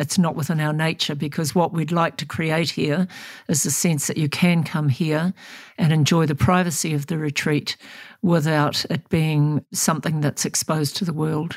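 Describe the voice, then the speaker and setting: A woman with a New Zealand accent and a very deep, low pitch, at a moderate pace. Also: fairly even intonation, very clean recording, silent background. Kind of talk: interview.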